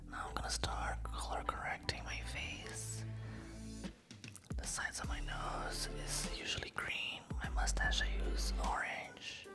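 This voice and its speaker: Over music in the background, a woman whispers at a fairly slow pace in a calm tone. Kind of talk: ASMR makeup tutorial, soft-spoken. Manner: soft-spoken, calm.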